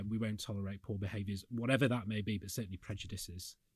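A man with a Yorkshire accent speaks at a fairly low pitch, his intonation monotone and flat. The recording is very clean, with a silent background. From Yorkshire, northern England. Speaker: accounting firm chief executive. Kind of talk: panel discussion.

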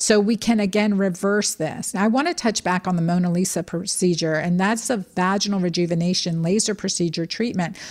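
In a very clean recording with a silent background, a woman with an ordinary speaking voice talks at a fairly quick pace and medium pitch, with hardly any pauses, very even loudness and fairly even intonation. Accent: American. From Texas. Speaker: doctor and women's health expert. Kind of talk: expert interview.

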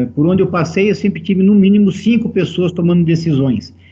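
This man's voice is high-pitched. Its tone comes across as dark and mellow. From Brazil, São Paulo state (Americana). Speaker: football executive. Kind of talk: interview.

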